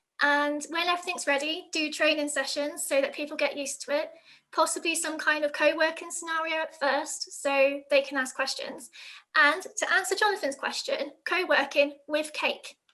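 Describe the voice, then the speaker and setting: Raising and projecting her voice, a woman speaks with a high pitch and a bright, sharp tone. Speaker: operations manager giving sales tips. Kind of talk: webinar presentation. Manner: fast.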